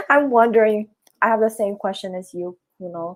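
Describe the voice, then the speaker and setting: A woman with a plain, everyday voice, moderate pace and ordinary pitch variation. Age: 20s. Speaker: beginner programmer. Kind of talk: live stream interview chat. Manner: casual.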